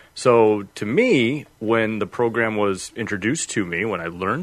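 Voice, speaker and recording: Against a quiet background, a man speaks in a fairly low pitch. He talks with a Chicago accent. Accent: Midwestern American (Chicago area). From northern Illinois (Freeport). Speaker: automotive field technical specialist. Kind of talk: casual interview.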